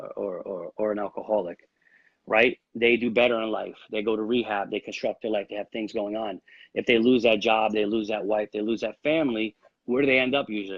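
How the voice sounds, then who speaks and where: A man with an American accent speaks at a fairly quick pace, keeping a medium pitch and fairly even intonation. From New York. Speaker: real estate agent. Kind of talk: interview. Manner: fast.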